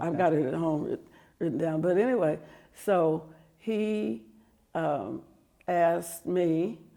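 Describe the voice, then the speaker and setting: In an American accent, a woman with a fairly low pitch and a dark, mellow tone speaks at a fairly slow pace with lively intonation and long, frequent pauses. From Topeka, Kansas, USA. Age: 70s. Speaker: former school board member and legislative staffer. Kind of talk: oral history interview answer.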